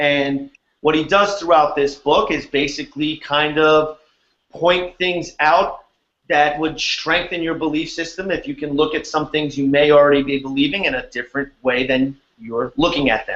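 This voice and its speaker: Speaking in a New York accent, a man with a fairly high pitch keeps a moderate pace and fairly even intonation. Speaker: wholesale real estate investor, co-host. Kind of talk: casual online training talk. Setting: online video call.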